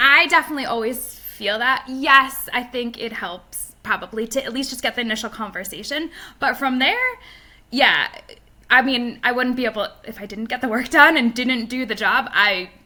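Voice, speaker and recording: At a moderate pace, a woman with a high pitch speaks with ordinary pitch variation and big swings in loudness, over noticeable background noise. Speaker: production operations manager. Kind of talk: interview.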